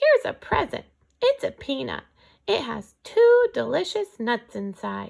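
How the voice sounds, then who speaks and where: A put-on character voice at a fairly slow pace. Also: woman. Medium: read story.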